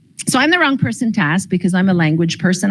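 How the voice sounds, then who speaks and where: This is a woman's voice at medium pitch. It sounds somewhat breathy. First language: Croatian. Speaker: school board special education presenter. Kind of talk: information session presentation. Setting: in-person session, livestreamed.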